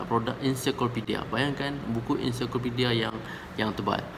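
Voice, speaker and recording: Speech at a moderate pace comes through audible room echo and noticeable background noise. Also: man. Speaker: counselor. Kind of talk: storytelling monologue. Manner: halting, with many fillers.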